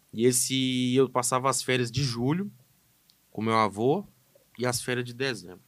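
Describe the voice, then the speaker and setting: The man's pitch sits in the middle range. He talks at a moderate speed. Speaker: animal scientist. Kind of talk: casual podcast conversation.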